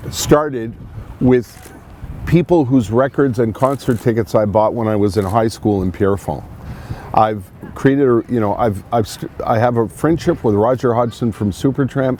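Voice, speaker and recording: A man with a Montreal accent speaks at a medium pitch with ordinary pitch variation amid noticeable background noise. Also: moderate pace. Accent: Canadian English (Montreal anglophone). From Montreal, Quebec. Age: 60s. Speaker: radio host. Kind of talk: interview. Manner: halting, many restarts.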